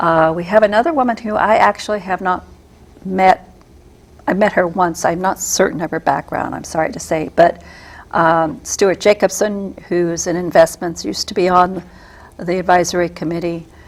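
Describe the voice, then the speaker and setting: A woman's fairly low pitch carries vocal fry. She keeps a moderate pace and fairly even intonation. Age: 60s. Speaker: political candidate. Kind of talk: interview. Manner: hesitant, many fillers.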